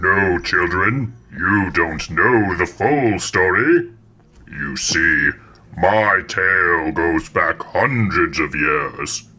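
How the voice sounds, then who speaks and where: Very slowly and at a very deep, low pitch, a man performs a put-on character voice. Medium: audio drama. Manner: theatrical, formal.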